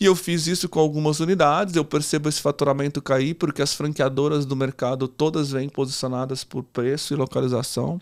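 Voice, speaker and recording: Delivered in a plain, everyday voice, the speech moves at a fairly quick pace with hardly any pauses, fairly even intonation and a dry, close sound with no echo. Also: man, fairly high pitch for a man. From Brazil, interior of São Paulo state. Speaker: entrepreneur, franchise founder. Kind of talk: podcast interview.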